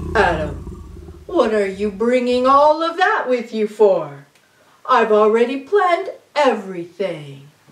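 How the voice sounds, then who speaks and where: In a put-on character voice, the speaker goes at a fairly slow pace with a fairly high pitch and long, frequent pauses. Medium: read story. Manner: calm, patient.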